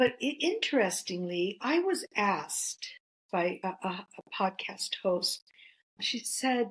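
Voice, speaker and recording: Speaking at a very slow pace, a woman with a fairly high, somewhat breathy voice makes very wide pitch swings. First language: Greek. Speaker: author and counselor. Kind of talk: interview.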